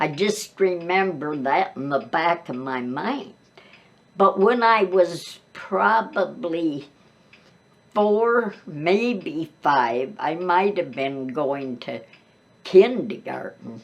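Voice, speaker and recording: A woman with an American accent speaks at a very slow pace, her fairly low pitch swinging very widely. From US Midwest. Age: 90s. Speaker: grandmother telling life stories. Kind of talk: oral history interview. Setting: seated interview, boom mic.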